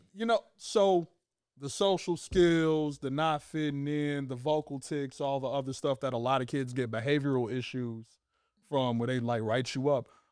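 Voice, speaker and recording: The recording is very clean, with a silent background. A man talks at a moderate pace, his fairly high pitch showing ordinary variation. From Chicago, South Side. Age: 30s. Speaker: guest. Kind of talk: casual interview.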